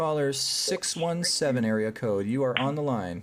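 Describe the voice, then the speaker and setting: A man with a slight Canadian accent speaks at a fairly slow pace. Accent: barely noticeable Canadian. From Canada. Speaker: psychic medium and live show host. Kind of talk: live call-in show.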